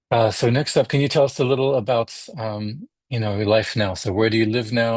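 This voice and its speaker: An unremarkable speaking voice from a man, at a fairly quick pace with ordinary pitch variation. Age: 40s. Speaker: podcast host, music scholar. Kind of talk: interview.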